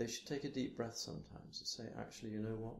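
A soft-spoken man with a British accent talks in a fairly low pitch, his intonation fairly even. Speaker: theatre and opera director. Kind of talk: interview answer.

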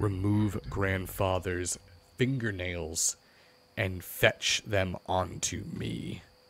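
A man uses a put-on character voice with a very deep, low pitch at a very slow pace. The recording is very clean, with a silent background. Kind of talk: archaic, solemn commands. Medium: game stream. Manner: imperious, cold.

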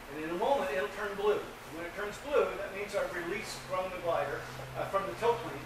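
The man's voice is high in pitch, moving at a fairly quick pace. Noticeable background noise and audible room echo surround him. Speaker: presenter. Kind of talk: lecture. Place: hall. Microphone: camera far.

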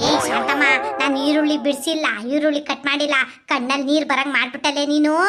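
A woman does a put-on character voice at a high pitch. Her intonation is monotone and flat, with very even loudness and a moderate pace. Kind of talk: village comedy sketch. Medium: comedy sketch. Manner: loud, combative, quick-tempered.

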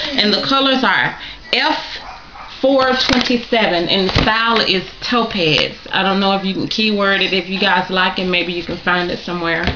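A woman's fairly slow speech with ordinary pitch variation against noticeable background noise. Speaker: wig reviewer. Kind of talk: casual vlog chat. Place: home room. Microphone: webcam.

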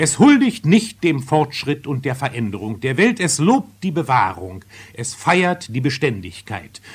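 Vocal fry marks a man's voice as it moves through very wide pitch swings. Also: fairly high pitch for a man, fairly slow pace. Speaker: radio theatre critic. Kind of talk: radio theatre review, spoken commentary. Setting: radio broadcast, archival recording. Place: studio.

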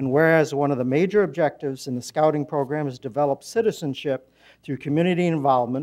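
A man talks at a very fast pace with ordinary pitch variation against a quiet background. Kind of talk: formal proclamation reading. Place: hall. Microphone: podium.

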